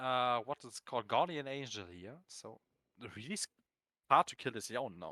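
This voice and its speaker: In a dry, close recording with no echo, a man with a medium pitch and a bright, sharp tone uses lively intonation, big swings in loudness, and long, frequent pauses. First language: not English. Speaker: esports caster. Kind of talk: live commentary. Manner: animated; fast.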